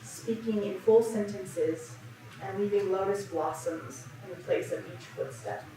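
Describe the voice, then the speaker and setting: The speaker goes at a fairly slow pace with very wide pitch swings, against noticeable background noise. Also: woman, big swings in loudness. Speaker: church sermon speaker. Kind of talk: sermon talk on religious storytelling.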